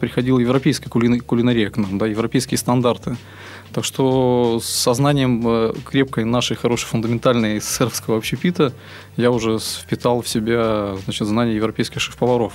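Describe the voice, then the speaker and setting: A man talks fairly quickly in an unremarkable speaking voice. His pitch is medium, his intonation fairly even and his loudness very even. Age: 30s. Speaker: chef and restaurant business owner. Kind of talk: interview.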